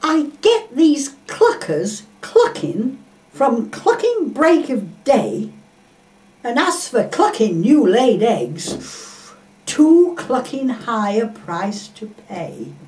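A woman's high voice, very slow, with very wide pitch swings and big swings in loudness. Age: 80s+. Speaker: poet. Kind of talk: comic poetry reading. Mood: indignant comic complaint. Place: home room. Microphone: camera far.

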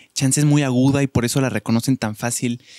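A man talks at a moderate pace with a Mexican accent, his pitch medium and its variation ordinary. The sound is dry with no echo, and the background is quiet. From Mexico. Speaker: podcast host. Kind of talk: casual chat. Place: studio. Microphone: studio mic.

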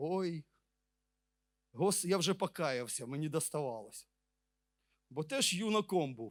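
A man at a fairly slow pace with lively intonation and long, frequent pauses, on a very clean recording with a silent background. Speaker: preacher. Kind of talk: sermon.

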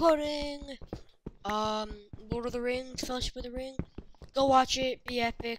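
Long, frequent pauses break up the speech, and the loudness swings widely. Pitch varies in an ordinary way. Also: woman. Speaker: gaming video creator. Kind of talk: gameplay commentary.

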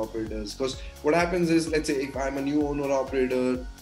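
Faint music plays in the background. A man talks at a very fast pace. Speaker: channel host interviewer. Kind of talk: interview question. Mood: friendly, upbeat. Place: home room.

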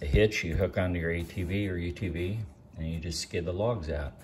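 Light background noise sits under a man's very deep, low voice. He sounds somewhat breathy, with fairly even intonation. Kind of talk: casual vlog chat. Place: garage. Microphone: phone near.

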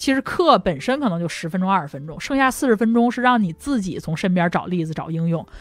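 A woman's medium-pitched voice at a very fast pace, with very wide pitch swings, hardly any pauses and noticeable background noise. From northern China, Langfang (Hebei). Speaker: debater. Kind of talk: casual chat. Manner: hesitant, many filler sounds.

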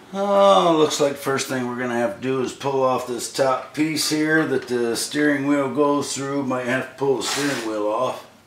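A man at a moderate pace with ordinary pitch variation, amid light background noise and audible room echo. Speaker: hobby tractor repairer. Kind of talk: casual repair commentary. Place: workshop. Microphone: camera far.

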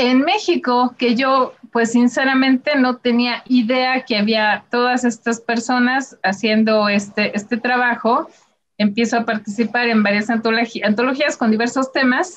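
At a fairly slow pace, a woman speaks in a high pitch with fairly even intonation and very even loudness. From Mexico. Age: 40s. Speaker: illustrator. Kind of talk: presentation with slides.

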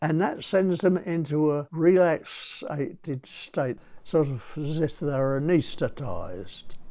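The speech moves at a very slow pace with hardly any pauses, in an English accent. The tone is dark and mellow, with ordinary pitch variation. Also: man, fairly high pitch for a man. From England. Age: 90s. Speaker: zoologist. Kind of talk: interview. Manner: halting. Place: home room. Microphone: lapel.

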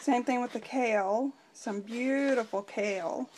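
A woman talks fairly slowly while light noise sits in the background. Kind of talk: casual vlog chat. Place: kitchen. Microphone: phone near.

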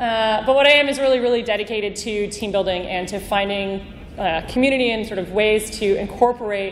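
A speaker with a Canadian accent talks at a moderate pace with ordinary pitch variation. Audible room echo and noticeable background noise are present. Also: woman. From Canada, Vancouver. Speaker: conference speaker, team builder. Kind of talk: conference talk.

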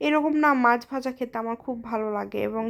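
The recording is very clean with a silent background. The speaker is a woman. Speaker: vlogger. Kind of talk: vlog narration. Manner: casual conversational.

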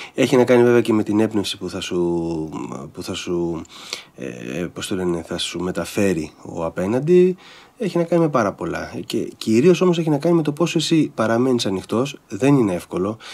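This man talks at a moderate pace in a medium pitch. His pitch swings very widely. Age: 50s. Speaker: stage and screen actor; screen actor. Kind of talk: casual chat. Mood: reflective. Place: studio. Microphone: studio mic.

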